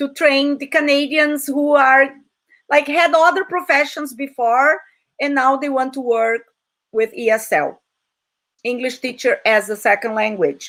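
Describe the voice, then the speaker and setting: A woman speaks in a Portuguese accent. Her high pitch shows ordinary pitch variation. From Brazil. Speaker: English teacher. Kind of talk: online talk. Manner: animated.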